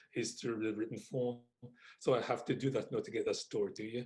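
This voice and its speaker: A man's dark, mellow, somewhat breathy voice at medium pitch and a fairly quick pace. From Wolverhampton, England. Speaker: author. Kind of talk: interview answer.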